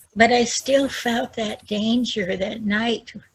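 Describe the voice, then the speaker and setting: Somewhat breathy and very slow, the speech comes in an American accent with fairly even intonation. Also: woman. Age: 70s. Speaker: retired bookkeeper sharing life story. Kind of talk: testimony. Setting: community event with audience.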